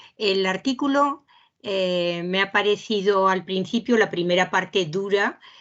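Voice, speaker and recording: A woman with a medium pitch takes things at a very slow pace. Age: 70s. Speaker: seminar participant. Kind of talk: group discussion. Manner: halting, many fillers.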